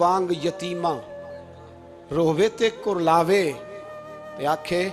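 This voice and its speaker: A man is speaking. Music plays in the background. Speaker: Islamic preacher. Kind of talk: emotional religious sermon. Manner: passionate, emotional, rhetorical.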